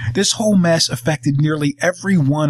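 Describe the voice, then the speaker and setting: In a normal speaking voice, a man with fairly high pitch and lively intonation speaks at a moderate pace, the sound dry and close with no echo. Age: 40s. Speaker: podcast host. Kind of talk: monologue rant.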